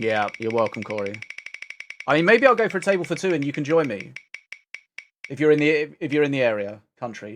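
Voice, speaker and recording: A man with a British accent, fairly high pitch, very wide pitch swings, a fairly quick pace and long, frequent pauses. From Britain. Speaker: game streamer. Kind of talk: casual live stream chat. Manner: animated.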